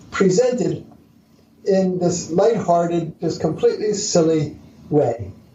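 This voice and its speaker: A man speaks with lively intonation, with audible room echo. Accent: American. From US Northeast, Philadelphia area. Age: 70s. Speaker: entrepreneur and author. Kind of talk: interview. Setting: podcast interview.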